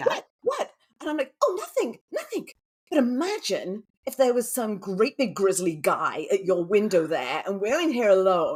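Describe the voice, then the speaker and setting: The speaker has an English accent and a moderate pace. The pitch swings very widely. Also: woman, fairly high pitch for a woman. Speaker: romantic suspense author. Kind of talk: interview answer.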